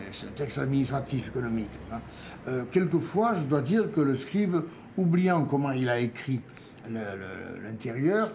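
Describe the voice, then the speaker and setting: This is a man speaking. His intonation is lively. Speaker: epigraphist, historian of Mesopotamia; storyteller. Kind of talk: documentary interview, explaining museum objects. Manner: warm, enthusiastic.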